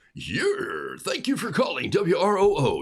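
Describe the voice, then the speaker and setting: At a moderate pace, a man performs a put-on character voice pitched extremely high for a man. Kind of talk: polished on-air radio patter. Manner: cheery, scripted.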